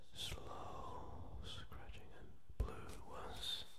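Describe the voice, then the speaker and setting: Loud background noise plays behind a man's voice. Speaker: ASMR creator. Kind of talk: ASMR video talk to camera. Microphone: studio mic.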